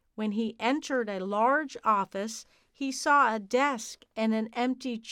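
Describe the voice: The text is read aloud plainly. Pitch variation stays ordinary.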